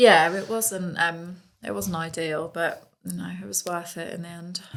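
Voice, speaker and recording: With a Suffolk accent, a woman speaks fairly slowly in a fairly low voice, her intonation lively and her loudness swinging widely, while room echo is audible. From Suffolk, East Anglia, England. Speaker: events content director. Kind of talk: casual chat.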